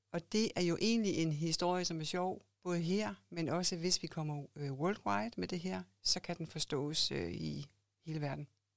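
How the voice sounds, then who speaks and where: This woman has a plain, everyday voice, fairly low in pitch with ordinary pitch variation. She talks at a fairly slow pace on a very clean recording with a silent background. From Denmark, Odense (Funen). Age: 50s. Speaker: clothing entrepreneur. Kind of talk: interview. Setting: podcast studio.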